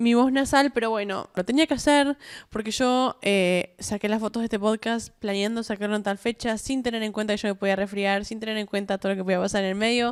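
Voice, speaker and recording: A woman in a Rioplatense accent speaks fairly quickly at a fairly high pitch, in a very clean recording with a silent background and a dry, close sound with no echo. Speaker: podcast host. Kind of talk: casual solo podcast monologue. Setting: at home, self-recorded. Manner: chatty, many fillers and restarts.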